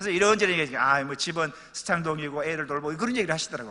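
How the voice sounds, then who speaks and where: Sounding animated, a man talks at a very fast pace. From Pohang, Gyeongsang region, South Korea. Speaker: pastor. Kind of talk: church announcement and anecdote. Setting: church.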